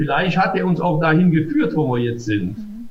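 A man is speaking. His pitch is high. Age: 60s. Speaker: mayor. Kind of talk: interview. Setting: video call. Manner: hesitant, many filler sounds.

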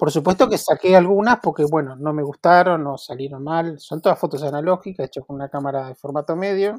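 A man with an unremarkable speaking voice, fairly high pitch, ordinary pitch variation and a fairly quick pace with hardly any pauses, on a very clean recording with a silent background and a dry, close sound with no echo. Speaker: photographer and photography teacher. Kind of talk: interview conversation.

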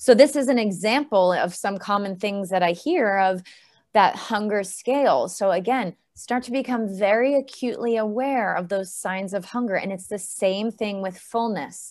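In a quiet background, a woman uses a normal speaking voice at medium pitch, moving at a moderate pace with ordinary pitch variation. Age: 40s. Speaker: gut health coach. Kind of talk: podcast interview.

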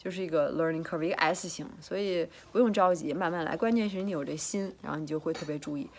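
A woman talking at a very fast pace with ordinary pitch variation. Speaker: fitness coach and vlogger. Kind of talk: casual vlog monologue. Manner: chatty, hesitant with fillers and repetitions.

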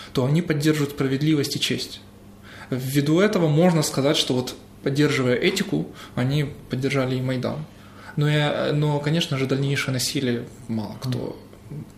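Against noticeable background noise, a man talks at a moderate pace with long, frequent pauses, his pitch fairly high and his intonation fairly even. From Crimea (Sevastopol). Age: 30s. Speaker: journalist and theologian. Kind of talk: interview.

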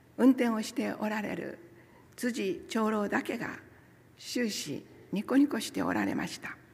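Using an unremarkable speaking voice, a woman talks at a fairly slow pace with a fairly high pitch and lively intonation. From Nagasaki, Kyushu, Japan. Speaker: church member giving a talk, former nurse. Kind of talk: sermon with personal testimony. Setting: church service, also streamed online. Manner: formal, polite.

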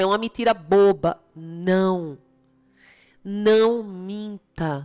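A woman speaks with fairly even intonation. Music plays in the background. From Brazil, Recife (Pernambuco). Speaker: motivational speaker and author. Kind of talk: motivational talk with religious themes. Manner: direct address to the listener.

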